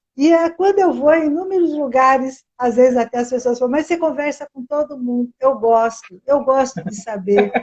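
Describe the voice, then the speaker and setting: Pitched high, a woman talks at a moderate pace with hardly any pauses. Her intonation is lively. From interior of São Paulo state, Piracicaba. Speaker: teacher, educator. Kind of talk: interview, casual chat.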